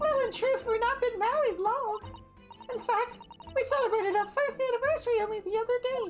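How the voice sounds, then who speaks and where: Over clear music in the background, a woman uses a put-on character voice at an extremely high pitch. She moves at a fairly quick pace with fairly even intonation. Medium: game stream.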